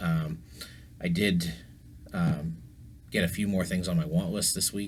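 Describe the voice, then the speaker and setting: At a moderate pace, a man talks in a very deep, low pitch. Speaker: sports memorabilia collector, YouTuber. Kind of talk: casual vlog talk. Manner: hesitant, many fillers.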